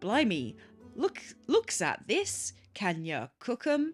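A put-on, gruff character voice, female-sounding and medium in pitch, at a very slow pace with faint music in the background. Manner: theatrical, gruff.

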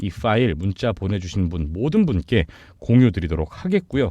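At a moderate pace, the dark, mellow tone moves through very wide pitch swings. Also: man. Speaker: crypto YouTuber. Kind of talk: sales pitch.

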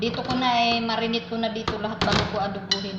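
A woman's fairly high voice, with noticeable background noise and audible room echo. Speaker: domestic worker vlogger. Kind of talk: cooking vlog. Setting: kitchen. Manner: casual, chatty with laughs.

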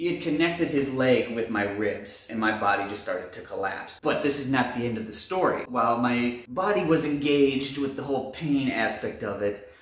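Audible room echo surrounds a man speaking at a moderate pace. He has ordinary pitch variation and hardly any pauses. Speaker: storyteller vlogger. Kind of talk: casual vlog chat. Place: home room. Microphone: camera far.

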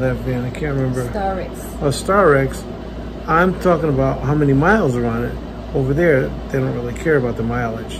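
A man speaks fairly quickly while noticeable background noise plays behind him. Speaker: vlogger. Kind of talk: casual vlog chat. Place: home room. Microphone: phone near.

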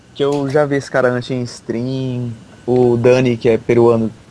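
A man's medium-pitched voice, dark and mellow in tone, with a monotone, flat intonation. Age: young. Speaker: esports player. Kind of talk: casual chat.

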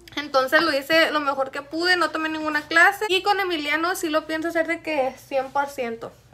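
Over noticeable background noise, a woman projects an extremely high, raised voice at a moderate pace, with fairly even intonation and hardly any pauses. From Chihuahua, Mexico. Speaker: beauty YouTuber. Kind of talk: casual chat.

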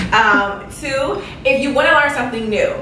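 With an American accent, a woman speaks at a moderate pace amid noticeable background noise and audible room echo. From Chicago, West Side. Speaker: YouTuber, esthetician. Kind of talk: casual vlog Q&A.

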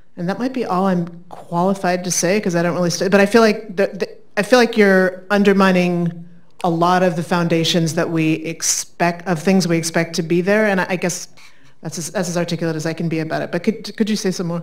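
A woman with a fairly low-pitched voice talks at a very fast pace. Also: fairly even intonation, quiet background. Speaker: academic event moderator. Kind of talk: introduction and Q&A moderation. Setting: stage with audience. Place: hall.

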